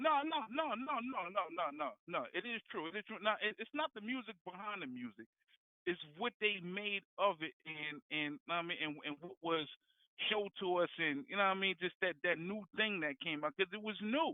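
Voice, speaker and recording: Speaking at a moderate pace, a man with a New Jersey accent uses a high pitch and very wide pitch swings. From New Jersey, Jersey City. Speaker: caller. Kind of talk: casual phone debate. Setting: phone call. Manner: halting, repetitive.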